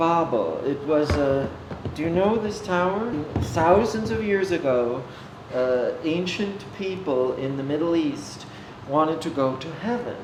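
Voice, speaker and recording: Over noticeable background noise and audible room echo, the speaker talks at a fairly slow pace with lively intonation. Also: man, fairly high pitch for a man. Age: 60s. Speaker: ceramic artist and teacher. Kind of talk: documentary interview. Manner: halting.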